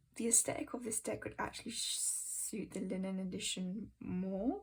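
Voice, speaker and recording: A woman speaks with a British accent. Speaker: tarot content creator. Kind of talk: casual walkthrough. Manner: halting, many ums.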